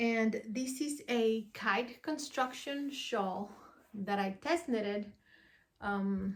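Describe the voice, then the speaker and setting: This voice moves at a very slow pace in a Spanish accent. It is somewhat breathy and keeps its loudness very even. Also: woman, fairly high pitch for a woman, ordinary pitch variation. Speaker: podcast host, yarn dyer and knitter. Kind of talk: casual vlog chat. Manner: hesitant, with many fillers.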